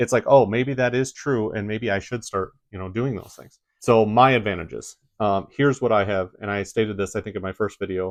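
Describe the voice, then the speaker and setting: Speaking at a fairly quick pace, a man uses a fairly low pitch with ordinary pitch variation. His loudness swings widely against a quiet background. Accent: Midwestern. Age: 40s. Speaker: YouTuber. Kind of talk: casual vlog talk.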